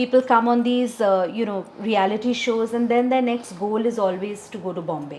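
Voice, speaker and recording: This woman has a plain, everyday voice with a fairly high pitch. She talks at a moderate pace with hardly any pauses. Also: ordinary pitch variation. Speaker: podcast host. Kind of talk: casual interview talk.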